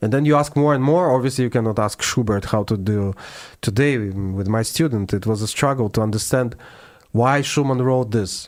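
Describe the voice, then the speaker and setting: A man with a Russian accent speaks at a moderate pace and medium pitch, with ordinary pitch variation. His loudness stays very even on a very clean recording with a silent background. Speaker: classical pianist. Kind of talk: interview. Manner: halting.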